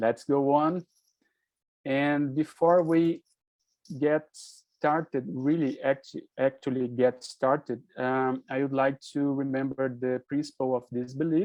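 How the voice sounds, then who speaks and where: Using a Brazilian accent, a man speaks at a very slow pace with fairly even intonation. Long, frequent pauses break up his speech. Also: quiet background. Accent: non-native English, Brazilian Portuguese. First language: Portuguese. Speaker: physician and presenter. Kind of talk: online presentation. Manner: halting, hesitant.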